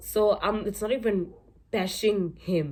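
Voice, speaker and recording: Vocal fry runs through a woman's voice. The pitch variation is ordinary. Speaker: YouTuber. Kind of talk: casual vlog talk. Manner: conversational, repetitive fillers; slurring.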